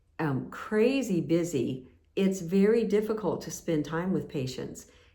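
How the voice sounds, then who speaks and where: A woman speaks with ordinary pitch variation, and audible room echo fills the recording. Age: 60s. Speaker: nurse and channel host. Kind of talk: casual talk to camera. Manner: halting, many fillers.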